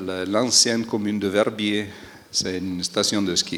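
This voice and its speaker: A man speaks with a strong Italian accent. His pitch is fairly low and his intonation monotone and flat. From Aosta Valley, Italy. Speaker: environmental technician. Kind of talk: panel discussion. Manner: hesitant, many fillers.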